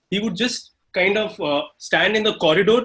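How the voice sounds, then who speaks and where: The speaker is a man. His intonation is lively. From India, Bombay. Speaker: homeopathic doctor. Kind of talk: anecdote in online panel.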